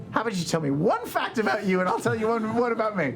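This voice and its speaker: Clear background noise accompanies a put-on character voice delivered at a fairly high pitch and a very fast pace. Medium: actual play. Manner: awkward, earnest.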